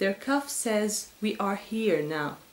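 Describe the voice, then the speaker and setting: Speaking at a very slow pace with an Arabic accent, a woman is heard with audible room echo. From Syria. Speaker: poet. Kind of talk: poetry reading. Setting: pre-recorded video. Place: home room. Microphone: webcam.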